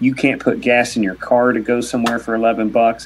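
A man talks at a moderate pace with an American accent and a medium pitch. He has a plain, everyday voice with fairly even intonation. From Kentucky, US. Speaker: motorcycle racing reporter. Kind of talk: casual chat.

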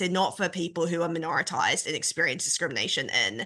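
Speaking at a very fast pace, a woman uses a medium pitch and a bright, sharp tone. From New Zealand. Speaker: AI researcher and podcaster. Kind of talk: podcast discussion.

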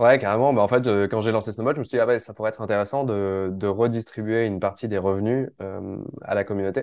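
Against a quiet background, the speech runs at a very fast pace with fairly even intonation. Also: man, fairly low pitch for a man. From southern France, Var (Provence). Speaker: startup founder and newsletter writer. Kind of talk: casual interview.

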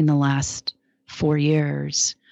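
The sound is close and dry, without any echo. The speaker is a woman. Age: 50s. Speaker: podcast host. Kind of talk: casual chat.

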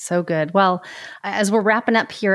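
A woman's normal speaking voice, with fairly even intonation at a moderate pace, over a quiet background. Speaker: podcast host. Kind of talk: interview, scripted intro.

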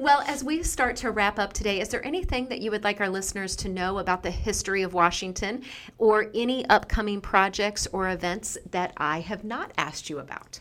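A woman talks at a fairly quick pace in an unremarkable speaking voice, with lively intonation and a medium pitch. The recording is very clean, with a silent background. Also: hardly any pauses. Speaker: school superintendent podcast host. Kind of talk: interview. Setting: studio.

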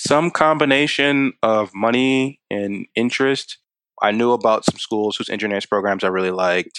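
At a moderate pace, a man with an American accent speaks in an ordinary speaking voice, his medium pitch showing ordinary variation. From Maryland, Baltimore County. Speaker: software engineer. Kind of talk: interview.

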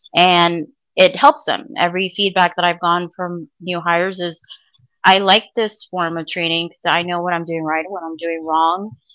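With an American accent, a woman speaks at a moderate pace in a fairly low voice with a bright, sharp tone, ordinary pitch variation, and big swings in loudness. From Miami, Florida. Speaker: 911 dispatcher. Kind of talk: casual interview.

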